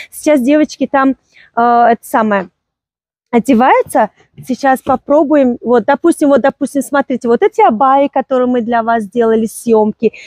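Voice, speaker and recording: A high-pitched woman's voice with a dark, mellow tone, ordinary pitch variation, a moderate pace, and a dry, close sound without echo. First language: Tajik (speaking Russian). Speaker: clothing seller presenting products on video. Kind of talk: sales pitch.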